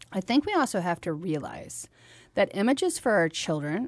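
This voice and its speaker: A woman talks at a fairly quick pace with medium pitch. She has an ordinary speaking voice, and the background is quiet. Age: 40s. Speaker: radio host and nonprofit founder. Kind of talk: casual chat.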